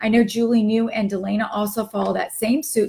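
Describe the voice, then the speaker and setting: A woman with a somewhat breathy voice talks at a fairly quick pace in a medium pitch and with fairly even intonation. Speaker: direct sales team leader. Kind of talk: live stream team meeting. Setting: live stream. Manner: casual, many fillers.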